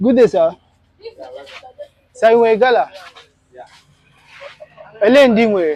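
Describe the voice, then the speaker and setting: With a Nigerian accent, a man speaks in a high pitch with lively intonation, big swings in loudness, and long, frequent pauses. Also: moderate pace. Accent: Nigerian Igbo English. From Nigeria, Igbo area. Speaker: food vlogger. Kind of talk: on-location vlog, shopping talk. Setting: outdoors at a village square.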